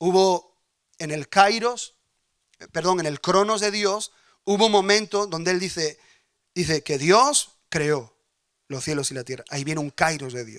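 A man speaks in a high voice and an animated tone, his loudness swinging widely. His pace is fairly slow, with long, frequent pauses over a quiet background. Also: lively intonation. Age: 40s. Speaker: pastor. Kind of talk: sermon. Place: church. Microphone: handheld.

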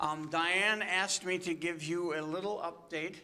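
A man's bright, sharp voice, very slow, with fairly even intonation. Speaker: pastor. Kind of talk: church announcements and prayer requests. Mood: gentle, pastoral, somber update. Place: church.

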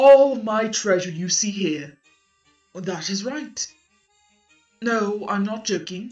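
A woman puts on a character voice at a medium pitch, speaking fairly slowly over faint background music. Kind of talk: improvised character performance. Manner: cheerful, upbeat.

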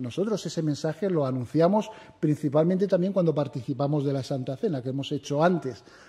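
A man with a fairly high pitch speaks in a solemn tone with lively intonation. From Spain. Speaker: preacher. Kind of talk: sermon. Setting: church. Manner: formal, solemn pastoral tone. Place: church. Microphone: podium.

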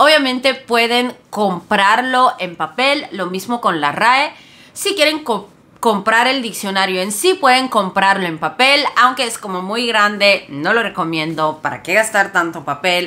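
This woman talks at a fairly slow pace in a medium pitch, with a non-native accent and lively intonation. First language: not Spanish (speaking Spanish). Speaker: Spanish language content creator; language educator. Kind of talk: casual educational vlog; tutorial. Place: home room. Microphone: phone near.

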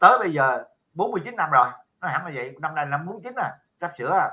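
Man's speech with long, frequent pauses against a quiet background. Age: old. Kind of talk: casual chat. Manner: halting, many fillers. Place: home room. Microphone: video call.

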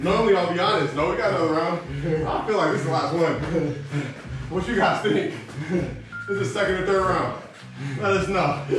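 A man with a high pitch talks at a fairly quick pace and ordinary pitch variation, with strong room echo and noticeable background noise. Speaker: workout coach. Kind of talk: workout coaching chat. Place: garage. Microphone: camera far.

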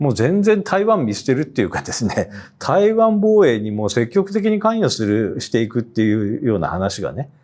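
A man speaks with a dark, mellow tone at a fairly quick pace. His pitch swings very widely. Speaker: newspaper editor. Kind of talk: panel discussion. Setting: studio. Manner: hesitant, many fillers. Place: studio. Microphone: lapel.

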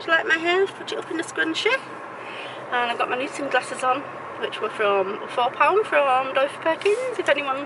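A woman speaks in a raised, projected voice at a fairly quick pace. The sound is dry with no echo, over noticeable background noise. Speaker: vlogger. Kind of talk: casual vlog chat. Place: car. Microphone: phone near.

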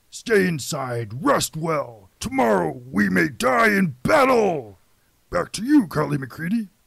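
Using a put-on character voice, a man speaks at a fairly slow pace and fairly high pitch with very wide pitch swings, in a very clean recording with a silent background. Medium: audio drama. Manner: broken-English, blunt, martial.

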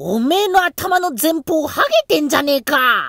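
A man speaks at a moderate pace. His pitch is extremely high. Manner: carefree, innocent.

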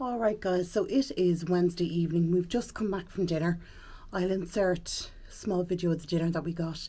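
A woman with an Irish accent speaks at a fairly low pitch in a dark, mellow tone, with ordinary pitch variation. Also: moderate pace. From Ireland. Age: 40s. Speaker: vlogger. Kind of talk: casual vlog talk to camera. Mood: relaxed, chatty. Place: home room. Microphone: phone near.

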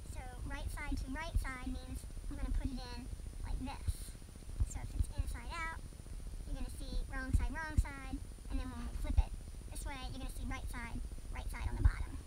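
Loud background noise surrounds a woman who speaks at a moderate pace with long, frequent pauses. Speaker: sewing instructor. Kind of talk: tutorial. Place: home room.

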